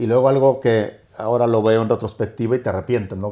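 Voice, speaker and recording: A man with a slight Mexican accent, dark, mellow in tone, at a fairly quick pace with fairly even intonation, over a quiet background. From northern Mexico (Torreón). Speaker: hotel company executive. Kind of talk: interview. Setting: in-person at a hotel.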